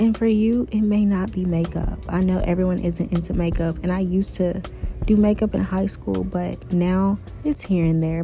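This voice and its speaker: A woman talks at a fairly quick pace with a fairly low pitch. Her pitch varies in an ordinary way, and background noise is noticeable. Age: 20s. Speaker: lifestyle and online business vlogger. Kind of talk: motivational vlog talk.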